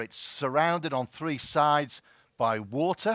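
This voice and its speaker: With a Merseyside accent, a man speaks at a fairly high pitch with ordinary pitch variation. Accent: Merseyside, close to Scouse. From Wirral, northwest England. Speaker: health service chief executive. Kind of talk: conference presentation. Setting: stage with audience.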